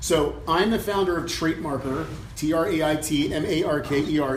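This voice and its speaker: A man speaks in an American accent at a fairly high pitch. The recording has audible room echo and noticeable background noise. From Germany (US military family). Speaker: entrepreneur, personality assessment founder. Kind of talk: talk at business luncheon. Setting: luncheon event with audience. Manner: conversational, many fillers.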